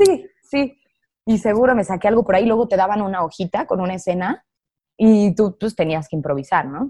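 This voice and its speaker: Lively intonation and a fairly quick pace carry a dark, mellow tone. The sound is dry and close, with no echo. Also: woman, medium pitch for a woman. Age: 20s. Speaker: actress. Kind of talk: casual interview.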